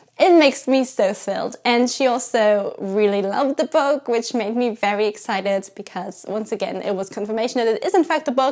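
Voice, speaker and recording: With a German accent, a woman speaks fairly quickly at a fairly high pitch and ordinary pitch variation. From Germany. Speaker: writer and YouTuber. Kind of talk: casual vlog talk.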